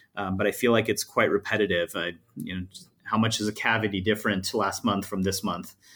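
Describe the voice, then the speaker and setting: Delivered in an American accent, the speech has monotone, flat intonation. The recording is very clean, with a silent background. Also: man. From Los Angeles, US. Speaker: tech executive. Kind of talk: interview. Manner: halting, many fillers and repeated words.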